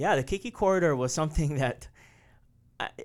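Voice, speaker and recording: A Hawaiian accent at a fairly quick pace, with ordinary pitch variation and a very clean recording over a silent background. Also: man. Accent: Hawaii English. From Hawaii, Oahu windward side. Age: 40s. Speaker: city transportation official. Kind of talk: interview.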